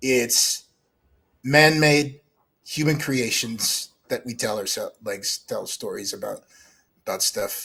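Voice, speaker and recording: Very slow male speech with long, frequent pauses. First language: French. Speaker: guest, atheist online commentator. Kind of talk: casual interview chat. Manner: halting, many fillers.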